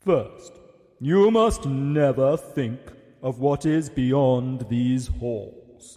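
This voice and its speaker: A man performs a put-on character voice. It sits at a medium pitch and moves at a very slow pace. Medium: audio drama. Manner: commanding.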